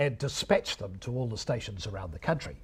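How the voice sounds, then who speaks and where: Talking at a fairly quick pace with a New Zealand accent, a man uses vocal fry and very wide pitch swings. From New Zealand, Wellington region. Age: 60s. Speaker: retired radio broadcaster. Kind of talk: lecture.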